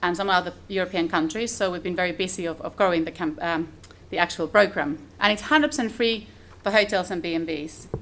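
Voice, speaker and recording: A woman speaks with a Finnish accent. Her pace is fairly quick and her pitch variation ordinary. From Finland. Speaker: conference speaker. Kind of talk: conference presentation. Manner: fast.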